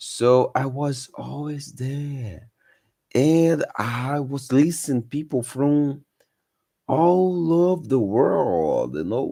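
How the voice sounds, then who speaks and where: Speaking at a very slow pace in a Brazilian Portuguese accent, a man with a fairly high pitch and a dark, mellow tone uses ordinary pitch variation. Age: 30s. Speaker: English-learning YouTuber. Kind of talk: live stream talk. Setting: live stream. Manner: halting, many fillers.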